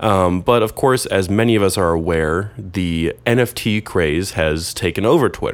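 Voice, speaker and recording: Using a normal speaking voice with ordinary pitch variation, a man talks at a fairly slow pace. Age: 20s. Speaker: photography podcast host and MFA student. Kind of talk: casual solo monologue. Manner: casual, with frequent fillers.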